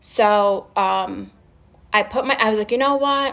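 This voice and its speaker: Speaking with a strong New York accent, a woman uses a fairly high pitch and ordinary pitch variation. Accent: strong Staten Island New York. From Staten Island, New York. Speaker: live streamer. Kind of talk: casual storytelling on a livestream. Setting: live stream with chat.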